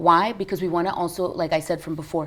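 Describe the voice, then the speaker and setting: In a plain, everyday voice, a woman with an American accent talks at a fairly quick pace, her fairly low pitch showing ordinary pitch variation. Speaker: business founder and CEO. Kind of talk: TV interview.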